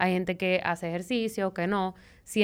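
A woman in a plain, everyday voice speaks at a medium pitch and a moderate pace with fairly even intonation, on a very clean recording with a silent background. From Venezuela. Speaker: nutritionist. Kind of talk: casual chat.

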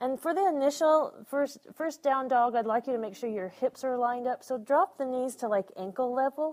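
A calm, playful tone at a moderate pace, with hardly any pauses. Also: woman, high pitch for a woman, ordinary pitch variation. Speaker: yoga instructor. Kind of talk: live yoga class cueing, breath-paced commands. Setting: studio class with live participants. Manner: rhythmic, clipped imperative cues timed to breath; calm, encouraging, lightly playful with laughs.

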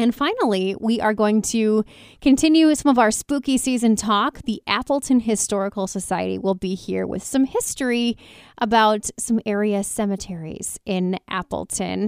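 A woman's fairly high voice, a normal speaking voice, with ordinary pitch variation at a moderate pace, dry and close with no echo, on a very clean recording against a silent background. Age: 30s. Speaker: radio host. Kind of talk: radio talk show. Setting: studio.

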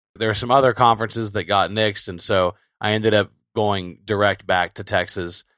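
A man with an unremarkable speaking voice, pitched fairly low, talks fairly quickly with fairly even intonation against a quiet background. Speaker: podcast host. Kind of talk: casual banter in a news roundup podcast. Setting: remote home studio recording.

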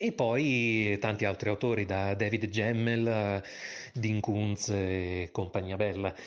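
With fairly even intonation, a man talks at a very slow pace. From Italy, Bologna. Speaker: voice actor and author. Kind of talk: interview.

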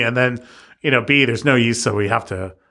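A man at a fairly quick pace and medium pitch, in an ordinary speaking voice with ordinary pitch variation. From East Los Angeles. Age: 40s. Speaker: tattoo artist. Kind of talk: casual chat.

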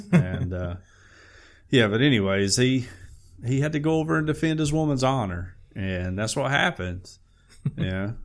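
A man's Southern US accent with very wide pitch swings and long, frequent pauses. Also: medium pitch for a man, moderate pace. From US South, Alabama. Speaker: podcast co-host. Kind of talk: reading news aloud; casual chat.

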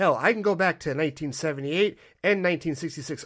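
An animated tone with ordinary pitch variation comes through on a very clean recording with a silent background. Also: man. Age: 40s. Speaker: podcast host and film reviewer. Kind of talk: solo review monologue.

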